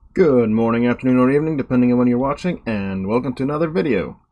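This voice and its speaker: Speaking at a medium pitch, the man has a non-native accent. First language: not English. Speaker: gaming video creator. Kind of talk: gameplay commentary. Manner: casual, somewhat halting.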